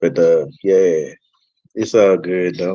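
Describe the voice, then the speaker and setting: This man's voice sits at a very deep, low pitch. He speaks with a Louisiana accent. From North Louisiana, US South. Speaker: music producer. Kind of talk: radio interview. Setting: radio show. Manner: halting.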